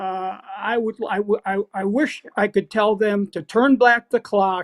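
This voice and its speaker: A high-pitched male voice with fairly even intonation, in a dry, close sound with no echo. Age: 70s. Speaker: retired football coach. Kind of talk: podcast interview.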